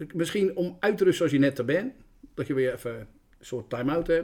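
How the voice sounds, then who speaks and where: This man speaks at a fairly high pitch. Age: 50s. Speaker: school caretaker. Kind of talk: casual interview.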